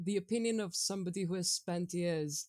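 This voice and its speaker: Using a normal speaking voice, a woman with a fairly low pitch and ordinary pitch variation talks at a fairly quick pace on a very clean, dry, close recording with a silent background and no echo. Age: 20s. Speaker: podcast guest, gamer. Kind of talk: casual chat.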